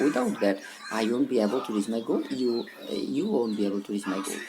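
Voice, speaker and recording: Someone speaks fairly quickly in a South Asian accent, with noticeable background noise. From Bangladesh. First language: Bengali. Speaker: English teacher. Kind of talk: motivational talk. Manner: halting.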